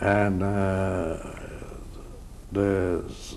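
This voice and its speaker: A man with a very deep, low pitch talks in a monotone, flat intonation, with audible room echo. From Poland (Drohobych, now Ukraine). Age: 70s. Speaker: Holocaust survivor. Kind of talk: oral history interview. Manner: halting, many hesitations.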